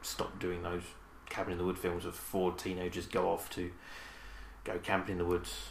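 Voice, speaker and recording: Vocal fry runs through a man's very deep, low pitch. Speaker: podcast co-host. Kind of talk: casual banter about movies. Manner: joking, animated.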